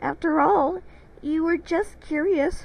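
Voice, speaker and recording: A woman uses a put-on character voice, pitched extremely high, speaking at a fairly slow pace. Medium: read story.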